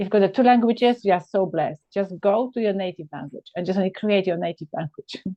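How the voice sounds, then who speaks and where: Speech comes at a very fast pace. The speaker has a Polish accent. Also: woman, medium pitch for a woman, ordinary pitch variation. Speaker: podcast host. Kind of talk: casual chat. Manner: animated.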